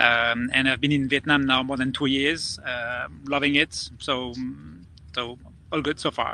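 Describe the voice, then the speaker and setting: In a strong French accent, the speaker talks at a moderate pace with a bright, sharp tone and fairly even intonation. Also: man. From France. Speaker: travel company director. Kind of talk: casual chat.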